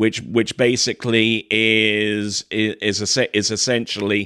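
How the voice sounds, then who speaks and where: A southern English accent at a very slow pace, with a dry, close sound, no echo and a quiet background. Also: man. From southern England. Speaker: podcast host. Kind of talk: interview. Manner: halting, many repeated words.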